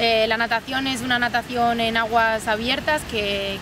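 Amid noticeable background noise, a woman speaks at a fairly slow pace in a fairly high pitch, her intonation monotone and flat, the sound dry with no echo. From Spain. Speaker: triathlete. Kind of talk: interview monologue. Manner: halting, frequent word repetitions. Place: garden.

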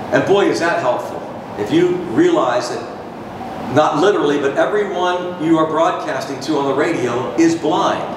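Noticeable background noise and audible room echo surround this recording. A man talks at a moderate pace in a high voice with ordinary pitch variation. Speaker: baseball radio broadcaster. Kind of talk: guest talk to a university audience about his career. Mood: warm, reflective. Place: hall.

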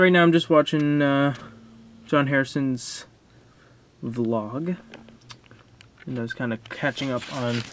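A man talks at a very slow pace amid noticeable background noise. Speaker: vlogger. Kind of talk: casual vlog chat. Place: home room. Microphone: phone near.

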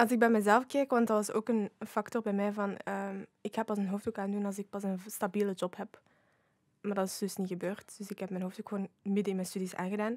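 Speaking with a Flemish accent, a woman has a medium pitch and monotone, flat intonation at a fairly quick pace. The background is quiet and the sound is dry with no echo. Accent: Flemish Dutch. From Flanders, Belgium. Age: 20s. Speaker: youth ambassador; podcast guest. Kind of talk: casual chat. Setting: studio. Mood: calm, reflective. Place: studio. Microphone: studio mic.

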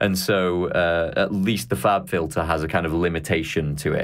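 This man has a very deep, low voice and a Mancunian accent. His pitch varies in an ordinary way against a quiet background. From Manchester, England. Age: young. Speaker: podcast host. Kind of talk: casual interview chat. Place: home room.

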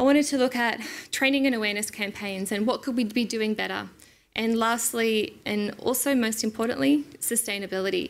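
Her pace is fairly quick. The woman's pitch moves in an ordinary way. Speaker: conference presenter. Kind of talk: lecture. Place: hall. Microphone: podium.

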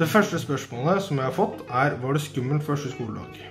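Clear music plays in the background as a man talks. He keeps a moderate pace with ordinary pitch variation. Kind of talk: casual answers to questions. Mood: friendly, relaxed. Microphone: phone near.

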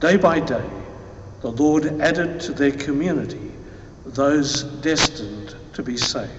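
A man speaks at a fairly slow pace and fairly high pitch with ordinary pitch variation. Light background noise and audible room echo are present. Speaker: lector reading scripture; priest reading scripture. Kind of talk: reading aloud at mass; liturgical reading. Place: church. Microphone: podium.

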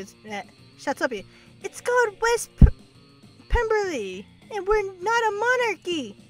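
Over faint music in the background, a woman does a put-on character voice at an extremely high pitch and a very slow pace. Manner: indignant, correcting.

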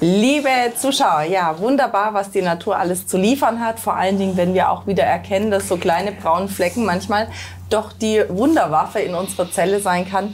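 With light background noise, a woman speaks at a moderate pace with ordinary pitch variation. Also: very even loudness. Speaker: TV health show host. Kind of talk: interview conversation in a studio show. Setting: studio. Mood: warm, cheerful. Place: studio. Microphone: lapel.

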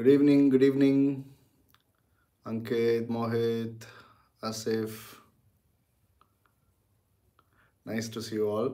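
A man with a dark, mellow tone speaks at a fairly slow pace in a monotone, flat intonation, taking long, frequent pauses over a quiet background. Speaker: teacher. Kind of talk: casual livestream greeting before a lecture. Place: home room. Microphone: phone near.

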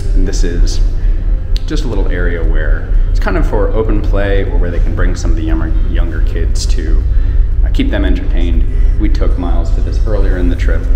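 A man at a fairly quick pace, music playing in the background. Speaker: cruise vlogger. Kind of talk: casual vlog tour narration. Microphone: phone near.

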